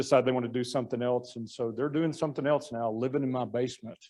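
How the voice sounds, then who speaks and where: With an American accent, a man talks very fast at a medium pitch in a dark, mellow, monotone voice. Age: 60s. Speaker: town manager. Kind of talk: club talk with slides.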